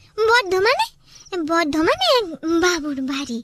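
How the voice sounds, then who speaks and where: A cartoonish character voice from a woman, extremely high in pitch, with very wide pitch swings. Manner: deferential, simple.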